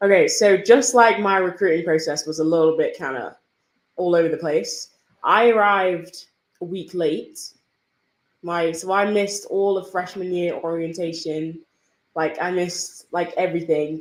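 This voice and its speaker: An English accent at a moderate pace, with fairly even intonation. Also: woman, fairly low pitch for a woman. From northern England (Yorkshire, Manchester). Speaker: college tennis player. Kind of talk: podcast interview.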